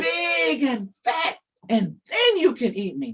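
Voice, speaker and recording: A man's high-pitched put-on character voice at a fairly slow pace, with very wide pitch swings. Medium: read story. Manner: sweet, wheedling.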